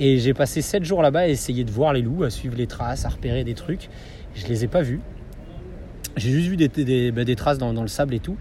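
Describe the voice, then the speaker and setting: The speech moves at a fairly quick pace with ordinary pitch variation and long, frequent pauses, over noticeable background noise. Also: man, medium pitch for a man. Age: 30s. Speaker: adventure photographer and dog-sled guide. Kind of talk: interview. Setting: in person. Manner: halting, with frequent repetitions and fillers.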